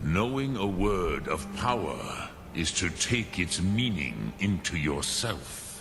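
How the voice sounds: A man's put-on character voice, low-pitched and slow, with big pitch swings.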